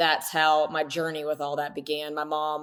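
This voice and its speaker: With an American accent, a woman talks at a moderate pace in a very deep, low pitch. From US South. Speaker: health coach and dance teacher. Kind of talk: podcast interview.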